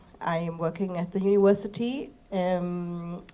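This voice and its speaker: A woman talks at a fairly slow pace in a medium pitch with a dark, mellow tone. Her pitch varies in an ordinary way. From Germany. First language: German. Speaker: language teacher. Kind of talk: panel discussion. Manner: halting.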